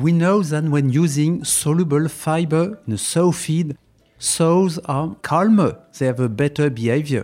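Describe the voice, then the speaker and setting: A man speaks at a fairly high pitch and a fairly slow pace. His pitch varies in an ordinary way. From France. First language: French (speaking Chinese). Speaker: veterinarian and animal nutritionist. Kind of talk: expert interview in English.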